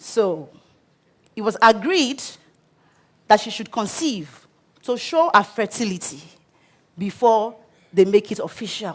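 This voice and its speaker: Delivered at a fairly slow pace, the speech has lively intonation, big swings in loudness and long, frequent pauses. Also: woman, fairly high pitch for a woman. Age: 30s. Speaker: business coach, transformational speaker. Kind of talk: TEDx talk.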